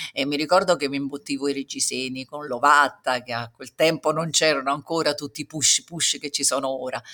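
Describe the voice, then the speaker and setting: A bright, sharp voice, flat and monotone, at a fairly quick pace with big loudness swings and a dry, close sound with no echo. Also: woman, very deep, low pitch for a woman, hardly any pauses. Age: 60s. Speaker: singer and breast cancer survivor. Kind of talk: testimony.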